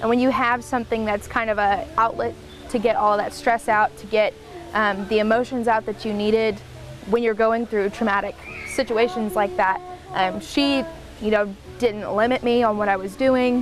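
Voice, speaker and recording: A woman talks at a moderate pace in an Oklahoma accent. Music sits in the background. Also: ordinary pitch variation. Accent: Southwest Oklahoma. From Southwest Oklahoma, Lawton. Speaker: country musician. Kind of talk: interview.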